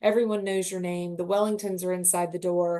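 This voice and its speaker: A woman in a Southern US accent talks at a fairly quick pace. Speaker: luxury hotel sales representative. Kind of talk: webinar presentation. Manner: animated.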